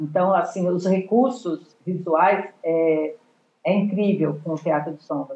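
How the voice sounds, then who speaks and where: A woman speaks very slowly in a fairly low pitch with a dark, mellow tone. Her loudness swings a lot, while her pitch variation is ordinary. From Brazil, São Paulo. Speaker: retired education professor and theatre educator. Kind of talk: interview. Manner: hesitant, many fillers.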